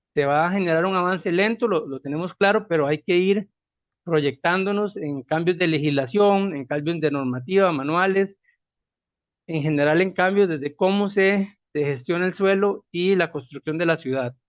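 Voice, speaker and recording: A man talks at a moderate pace. His voice is high-pitched, with ordinary pitch variation. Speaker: university project coordinator, moderator. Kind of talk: speaker introduction.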